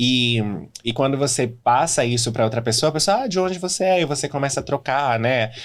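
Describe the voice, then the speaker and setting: At a fairly quick pace, a man uses a plain, everyday voice at medium pitch, with ordinary pitch variation and very even loudness, in a very clean recording with a silent background. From Brazil, São Paulo state (Mogi das Cruzes). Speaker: regional manager of a dental group. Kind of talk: interview.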